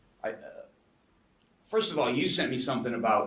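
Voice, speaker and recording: A man speaks with an American accent. Room echo is audible around him. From United States. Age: 60s. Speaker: coaching client, skydiver. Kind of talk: podcast interview, personal testimony.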